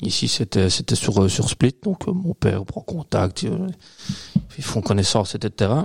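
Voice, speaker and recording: Somewhat breathy, a man's fairly low voice moves through very wide pitch swings. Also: fairly slow pace. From Belgium, Liège region (Waremme). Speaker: beer importer and beer specialist. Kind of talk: casual chat. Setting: studio, filmed podcast recording.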